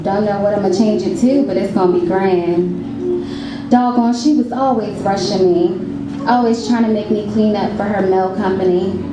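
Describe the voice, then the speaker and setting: A woman talks at a moderate pace in a medium pitch with ordinary pitch variation while music plays in the background. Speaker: spoken word poet. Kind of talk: spoken word performance. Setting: live reading at a cafe event.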